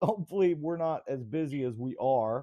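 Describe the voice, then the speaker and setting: With a Southern US accent, a man speaks at a moderate pace in a dark, mellow tone with lively intonation against a quiet background. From US South. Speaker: video channel host; channel host. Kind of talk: casual chat. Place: home room. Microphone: video call.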